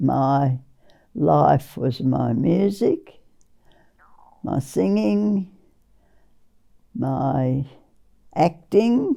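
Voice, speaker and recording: A woman with an Australian accent, very slow and marked by long, frequent pauses. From Western Australia. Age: 80s+. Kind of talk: interview answer.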